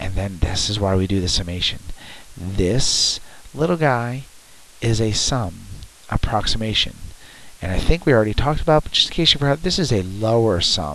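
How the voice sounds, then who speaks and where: Over noticeable background noise, a man talks at a moderate pace with long, frequent pauses and very wide pitch swings. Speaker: math teacher. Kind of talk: tutorial.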